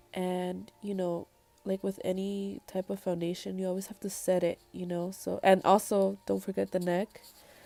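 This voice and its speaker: Music plays behind a woman of medium pitch. She talks at a moderate pace with monotone, flat intonation. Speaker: makeup artist. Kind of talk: tutorial. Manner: casual, many fillers.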